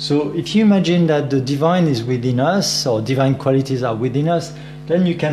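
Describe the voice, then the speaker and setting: A man with a French accent and a fairly high pitch, his loudness very even, amid noticeable background noise and audible room echo. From France. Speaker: meditation teacher. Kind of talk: meditation class instruction.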